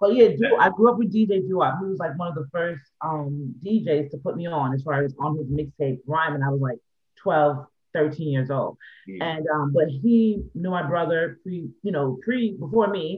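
A man with an American accent and a normal speaking voice, fairly high-pitched, at a moderate pace with lively intonation. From New York City, the Bronx. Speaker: artist and songwriter, label owner. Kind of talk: casual interview.

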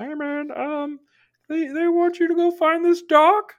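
In a put-on character voice at an extremely high pitch, the speaker goes at a fairly slow pace. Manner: imitating a puppet frog voice.

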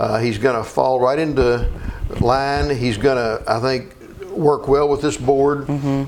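Medium-pitched male speech at a moderate pace, fairly even in intonation, with audible room echo and noticeable background noise. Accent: Kentucky. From Kentucky (Meade County / Elizabethtown area). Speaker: attorney. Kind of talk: interview.

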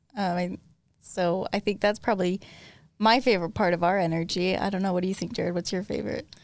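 A woman with a Utah accent talks at a very fast pace. Her medium pitch carries fairly even intonation. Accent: Utah American. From Utah (Logan). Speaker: special education teacher. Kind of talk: casual interview. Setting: studio.

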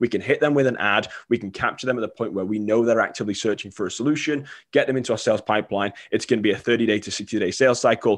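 Intonation remains fairly even here. The pace is very fast. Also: man, quiet background. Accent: Mancunian. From England, Manchester. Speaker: marketing consultant. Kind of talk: podcast interview.

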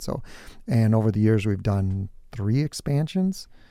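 In an Upper Midwest accent, a man speaks with a dark, mellow tone on a very clean recording with a silent background. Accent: Upper Midwest American. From southern Minnesota (New Prague). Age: 50s. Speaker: business owner. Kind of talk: interview. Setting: studio.

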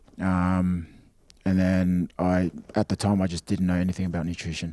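A man with an Australian accent speaks in a very deep, low pitch with a dark, mellow tone and monotone, flat intonation. The sound is dry and close with no echo, on a very clean recording with a silent background. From Australia (Sydney area). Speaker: rugby league player. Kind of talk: casual chat.

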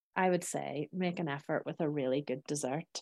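Dry and close with no echo, the woman's voice has a dark, mellow tone and ordinary pitch variation. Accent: Northern Irish. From Northern Ireland, Belfast. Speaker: cookery business owner. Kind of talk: interview.

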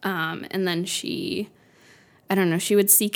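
A woman with a plain, everyday voice at medium pitch and moderate pace, on a very clean recording with a silent background. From US South, Florida. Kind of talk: casual chat.

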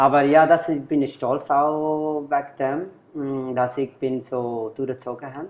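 This man talks at a very slow pace with a Bengali accent. His intonation stays fairly even. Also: fairly high pitch for a man. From Bangladesh. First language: Bengali (speaking German). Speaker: bar and club owner. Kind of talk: interview. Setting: at a bar.

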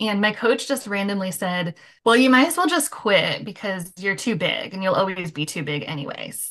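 A woman speaks at a moderate pace with an American accent, in a normal speaking voice. Her pitch sits in the medium range, and her intonation is lively. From Michigan. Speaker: recovery coach. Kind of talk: casual interview.

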